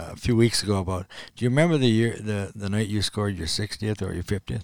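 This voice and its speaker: A man with a fairly low pitch, a normal speaking voice and a fairly quick pace. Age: 60s. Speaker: retired ice hockey player. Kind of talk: casual interview.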